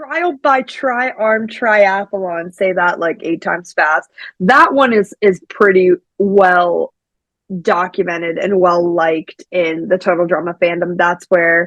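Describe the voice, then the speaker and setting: A woman with a medium-pitched voice speaks at a very slow pace, the sound dry and close with no echo. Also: ordinary pitch variation. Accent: American. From Pittsburgh, Pennsylvania. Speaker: podcast host. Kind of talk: casual podcast conversation.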